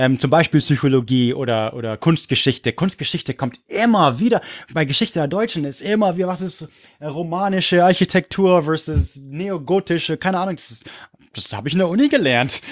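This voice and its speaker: Recorded very cleanly with a silent background, the speaker uses an English accent, an animated tone, lively intonation and big swings in loudness at a fairly quick pace. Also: man, fairly high pitch for a man. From California and Munich, Germany. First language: English (speaking German). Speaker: history podcaster. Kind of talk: casual chat.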